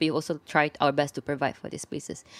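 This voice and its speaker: A woman with a very deep, low pitch talks at a very fast pace on a very clean recording with a silent background and a dry, close sound with no echo. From Malaysia, Subang Jaya. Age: 20s. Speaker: creative space co-founder and graphic designer. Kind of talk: interview.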